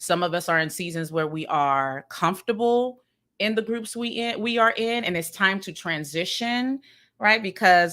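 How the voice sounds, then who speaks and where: With a Maryland accent, a woman speaks at a moderate pace. Her intonation is lively and her tone bright and sharp. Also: very clean recording, silent background. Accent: Maryland pronunciation, ER as UR. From Sierra Leone, raised in Maryland US. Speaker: podcast co-host. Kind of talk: casual panel discussion with teaching. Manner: animated, conversational.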